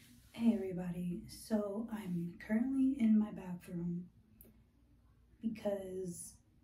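Somewhat breathy speech unfolds at a very slow pace with fairly even intonation and audible room echo. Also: woman. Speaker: skincare vlogger. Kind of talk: casual vlog chat. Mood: candid, reflective. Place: bathroom. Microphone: phone near.

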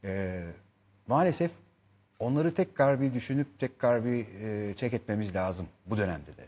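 A man speaks in a dark, mellow tone with lively intonation. His pace is fairly slow, and his loudness swings widely. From Turkey. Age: 40s. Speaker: actor; talk show guest, actor. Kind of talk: interview chat; interview answer. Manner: hesitant with many fillers. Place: studio. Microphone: lapel.

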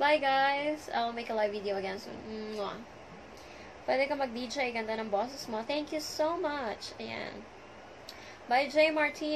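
A high-pitched woman at a fairly slow pace, with long, frequent pauses and light background noise. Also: ordinary pitch variation. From Manila, Philippines. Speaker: social media livestreamer; live streamer. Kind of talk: live stream chat greeting viewers. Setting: live video stream. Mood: friendly, playful farewell. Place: home room. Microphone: phone near.

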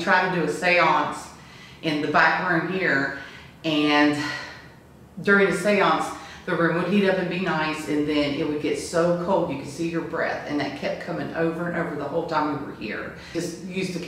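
Over light background noise and strong room echo, a woman talks at a moderate pace, her fairly low voice flat and monotone. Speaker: witness telling a ghost story. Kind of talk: interview answer. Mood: earnest, slightly awed. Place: home room. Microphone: camera far.

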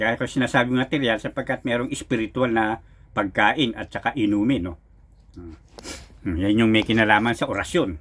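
A man talks at a moderate pace with a medium pitch and ordinary pitch variation. He has an ordinary speaking voice. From Philippines, Rizal province. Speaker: folk healer and card reader. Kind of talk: spoken tutorial monologue. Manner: casual, filler-heavy.

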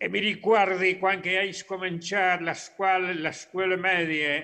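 A man speaks in a bright, sharp tone. There is light background noise. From Argentina, Córdoba province. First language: Spanish (speaking Italian). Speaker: professor, Friulian emigrant community member; remote guest. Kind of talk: remote talk. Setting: video call from Argentina. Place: home room. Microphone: video call.

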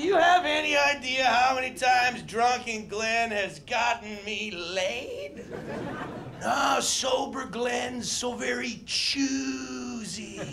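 Over light background noise, a man uses a raised, projected voice at an extremely high pitch, speaking very slowly with ordinary pitch variation. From Canada. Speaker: stand-up comedian. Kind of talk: stand-up comedy set. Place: stage. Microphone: handheld.

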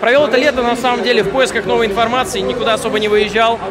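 Clear music sounds in the background. Over it, a man is talking. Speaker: interviewee, video creator. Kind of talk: interview answer. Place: hall. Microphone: handheld.

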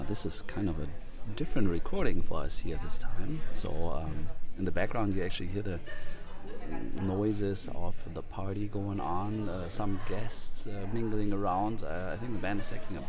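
Clear music plays in the background as the speech moves at a moderate pace. The sound is dry, with no echo. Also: man. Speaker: podcast host. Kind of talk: casual podcast narration. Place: booth.

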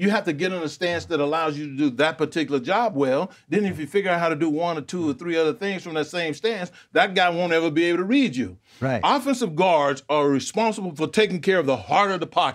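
A man talks very fast at a high pitch. His pitch varies in an ordinary way over a quiet background. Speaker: sports show analyst. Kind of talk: commentary. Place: studio. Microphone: lapel.

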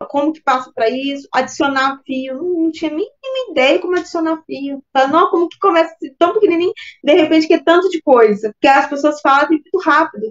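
Against a quiet background, a woman speaks fairly quickly in an extremely high voice with big swings in loudness. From Minas Gerais, Brazil. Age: 40s. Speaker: course student; interviewee. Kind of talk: testimony interview. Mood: relaxed, friendly. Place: home room. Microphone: video call.

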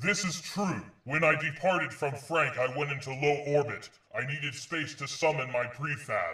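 A man's fairly high voice at a moderate pace. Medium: machinima. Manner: formal, stiff.

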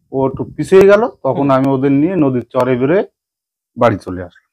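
A man's medium-pitched voice with lively intonation and a dark, mellow tone, over a quiet background. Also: big swings in loudness. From Sundarbans, West Bengal (Jharkhali); West Bengal. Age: 60s. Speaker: forest worker, woodcutter. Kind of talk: storytelling interview; interview answer. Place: home room. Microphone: lapel.

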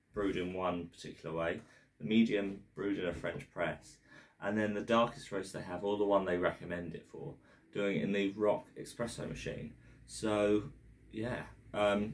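Fairly low in pitch with fairly even intonation, a man talks at a moderate pace. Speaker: coffee reviewer. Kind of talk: casual vlog chat. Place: home room. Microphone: camera far.

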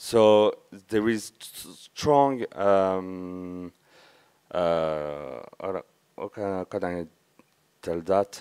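Over a quiet background, a man with a French accent talks very slowly in a very deep, low pitch with a dark, mellow tone, ordinary pitch variation, and long, frequent pauses. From France (Verdun area, east). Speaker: conference speaker, community member. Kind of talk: conference talk. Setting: stage with audience. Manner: halting. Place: hall.

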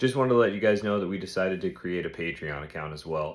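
A man rushes through his words at a very fast pace against a quiet background. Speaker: podcast host. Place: home room. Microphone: phone near.

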